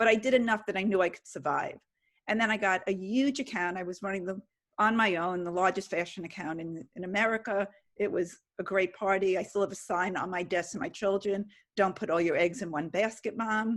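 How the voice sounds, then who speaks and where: Ordinary pitch variation and a fairly quick pace from a normal speaking voice, captured on a very clean recording with a silent background. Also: woman, medium pitch for a woman. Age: 60s. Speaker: audience member, agency owner. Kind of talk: question from audience.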